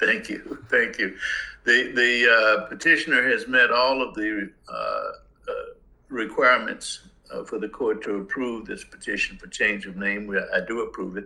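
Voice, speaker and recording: A man with a Southern US accent talks at a moderate pace, with big swings in loudness. Audible room echo and noticeable background noise surround him. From US South, Mississippi. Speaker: judge. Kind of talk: court hearing.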